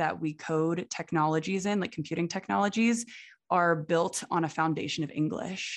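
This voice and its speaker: A woman with a plain, everyday voice speaks at a fairly low pitch with fairly even intonation over a quiet background. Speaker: podcast co-host, PhD student. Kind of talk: interview.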